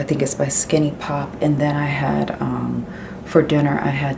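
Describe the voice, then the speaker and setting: A woman whispers at a moderate pace. Noticeable background noise and audible room echo fill the recording. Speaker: lifestyle vlogger. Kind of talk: casual vlog. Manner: whispering.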